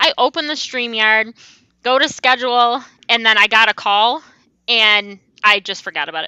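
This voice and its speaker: A loud woman with a bright, sharp tone is heard in a dry, close recording with no echo. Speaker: crochet youtuber. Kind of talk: casual chat. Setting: video call.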